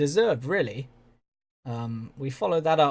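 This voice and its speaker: Recorded very cleanly against a silent background, a man with a southern English accent speaks at a medium pitch and a fairly slow pace, sounding somewhat breathy. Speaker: video game commentator. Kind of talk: gaming commentary. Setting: home recording with headphones. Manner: monotone.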